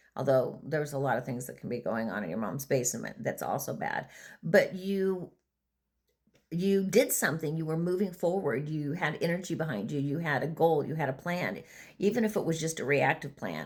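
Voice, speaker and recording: This woman speaks with vocal fry at a very deep, low pitch. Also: lively intonation, moderate pace. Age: 60s. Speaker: vlogger and former prison treatment provider. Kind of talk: casual monologue. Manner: halting.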